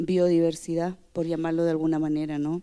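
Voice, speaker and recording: Her tone dark and mellow, a woman speaks with a Chilean accent. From Chile, Araucanía region. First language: Mapudungun (speaking Spanish). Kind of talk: conference talk. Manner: halting, many fillers.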